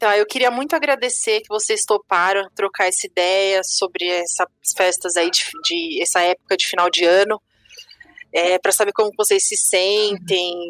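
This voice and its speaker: An ordinary speaking voice from a woman at medium pitch, moving at a moderate pace, with a dry, close sound and no echo. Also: ordinary pitch variation. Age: 30s. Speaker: podcast host. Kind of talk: casual chat.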